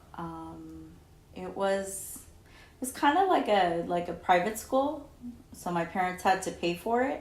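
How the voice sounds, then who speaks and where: A woman speaks at a very slow pace, with audible room echo around her voice. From Southern California. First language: Spanish. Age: 40s. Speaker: interviewee, mother of interviewer. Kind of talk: oral history interview. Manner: hesitant, filler words.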